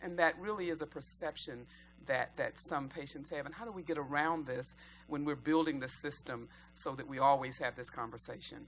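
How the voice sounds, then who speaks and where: A woman talks with a very deep, low pitch and some vocal fry. Her pitch varies in an ordinary way. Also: fairly quick pace. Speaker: audience member. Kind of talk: panel Q&A question. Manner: loud.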